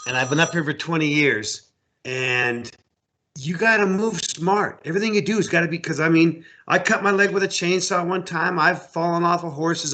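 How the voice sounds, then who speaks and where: The tone is bright and sharp, with an American accent. The pace is moderate. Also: man. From US Midwest, Iowa-Minnesota border. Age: 60s. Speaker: outfitter and hunting guide. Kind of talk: casual interview chat.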